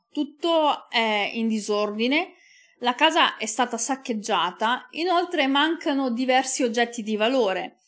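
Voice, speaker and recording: At a fairly slow pace, a woman speaks in a high voice. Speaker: true crime YouTuber. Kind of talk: true-crime narration, scripted storytelling. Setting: home recording for video channel. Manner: measured, serious; sombre, occasionally moved. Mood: calm, serious. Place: studio. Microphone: studio mic.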